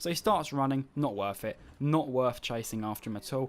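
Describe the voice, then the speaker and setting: At a moderate pace, a man of medium pitch speaks with an English accent. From England. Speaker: gamer. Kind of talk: gameplay commentary. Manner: casual.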